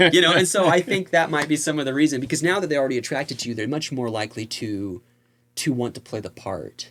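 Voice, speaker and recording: A man's fairly high voice moves at a very fast pace. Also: lively intonation. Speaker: magician and hypnotist. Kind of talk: casual chat.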